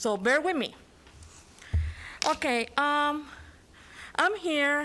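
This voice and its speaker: The background is silent and the recording very clean. A woman talks with a non-native accent. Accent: noticeable foreign. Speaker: parent giving public comment. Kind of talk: public comment.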